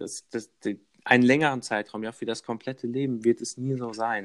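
A man speaks at a medium pitch, his voice dry and close with no echo. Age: 20s. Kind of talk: casual interview.

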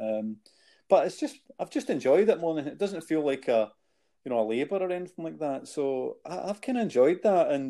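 A dark, mellow tone in a Glasgow accent, fairly quick, with very wide pitch swings, on a very clean recording over a silent background. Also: man, fairly high pitch for a man. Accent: Scottish (Glasgow area). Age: 50s. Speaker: podcast co-host, charity founder. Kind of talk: casual chat.

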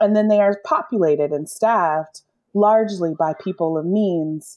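The woman's voice sits at a medium pitch, moving at a moderate pace with ordinary pitch variation. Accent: American. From US, Los Angeles; high school in Atlanta. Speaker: arts organizer and nonprofit leader. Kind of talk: interview conversation. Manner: hesitant, many fillers.

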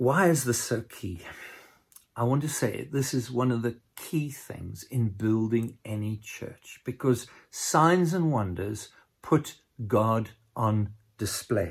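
Very slowly and somewhat breathily, a man talks with lively intonation. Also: medium pitch for a man. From South Africa, Cape Town. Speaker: pastor. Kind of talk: sermon. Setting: recorded remotely for a distant church.

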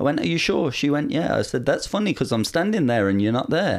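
There's a very clean recording with a silent background. A man talks at a fairly quick pace with a fairly high pitch, very wide pitch swings and vocal fry. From Ireland. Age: young. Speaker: YouTuber. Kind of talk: casual chat.

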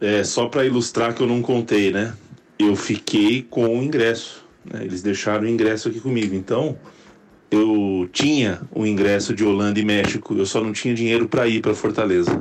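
A normal speaking voice from a man, fairly low in pitch, with fairly even intonation and a moderate pace. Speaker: podcast host. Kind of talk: recorded voice memo.

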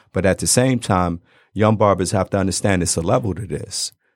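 The recording is very clean with a silent background and a dry, close sound with no echo, and the voice shows ordinary pitch variation. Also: man. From Detroit. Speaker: barber. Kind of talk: casual chat. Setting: studio.

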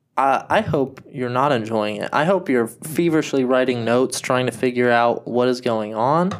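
With an American accent and a normal speaking voice, a man talks at a medium pitch and a moderate pace, using ordinary pitch variation and hardly any pauses. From United States. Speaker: podcast co-host. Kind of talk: casual chat.

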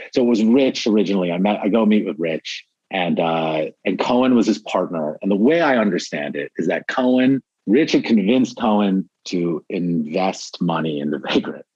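A man with a plain, everyday voice, fairly low-pitched with lively intonation, at a moderate pace with hardly any pauses, in a dry, close sound with no echo. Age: 40s. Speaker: former record label employee. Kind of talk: casual interview.

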